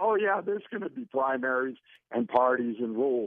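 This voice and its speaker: A man with a normal speaking voice and an American accent talks at a moderate pace and medium pitch with lively intonation. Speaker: caller. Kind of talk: casual chat. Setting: phone call.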